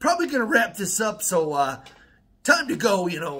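With an American accent, the voice is raised and projected, bright and sharp in tone. It moves at a moderate pace with very wide pitch swings. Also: man. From Wisconsin. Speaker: YouTuber. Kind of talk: casual vlog monologue. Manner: rambling with many fillers. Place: home room. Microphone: phone near.

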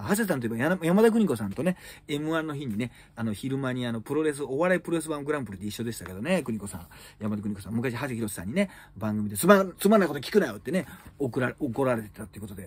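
A man speaks at a very fast pace, somewhat breathy. His pitch swings very widely, and his loudness shifts in big swings. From Japan. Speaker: comedian; comedian news commentator. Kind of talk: solo news commentary chat. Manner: casual, filler-heavy. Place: home room. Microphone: phone near.

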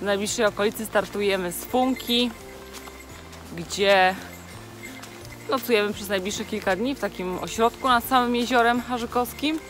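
Against clear background music, a woman speaks at a moderate pace with ordinary pitch variation and long, frequent pauses, in a dry sound with no echo. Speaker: travel vlogger. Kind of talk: casual vlog chat. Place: forest. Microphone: phone near.

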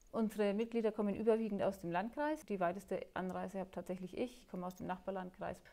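A woman with a dark, mellow tone speaks very fast. Her loudness swings widely while her pitch varies in an ordinary way. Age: 40s. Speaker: table tennis player with Parkinson's. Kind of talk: interview. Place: hall. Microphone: lapel.

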